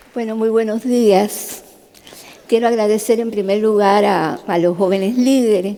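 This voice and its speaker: A woman speaks at a moderate pace with fairly even intonation. Noticeable background noise runs behind her. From Cuba. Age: 70s. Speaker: neurosurgeon giving a talk. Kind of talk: testimony talk. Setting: stage with audience. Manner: conversational.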